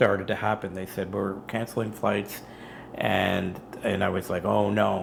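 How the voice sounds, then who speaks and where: At a fairly slow pace, a man speaks with vocal fry at a fairly low pitch. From Canada. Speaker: engineer, travel video creator. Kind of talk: casual chat.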